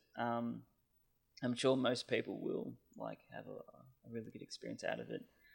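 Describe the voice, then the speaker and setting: A man speaks with an Australian accent. His loudness swings widely. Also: moderate pace. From Australia (Canberra). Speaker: podcast listener sharing Japan travel experiences. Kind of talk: casual chat. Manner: halting, many fillers.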